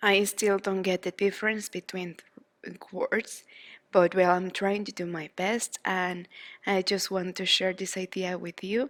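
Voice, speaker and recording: With a Spanish accent, a woman speaks at a medium pitch and a fairly slow pace in a monotone, flat intonation, her loudness swinging widely, in a dry, close sound with no echo on a very clean recording with a silent background. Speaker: crochet teacher. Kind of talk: tutorial. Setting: at home.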